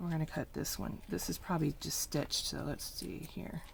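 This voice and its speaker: Whispering at a moderate pace. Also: woman. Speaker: craft video maker. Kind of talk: tutorial. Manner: casual.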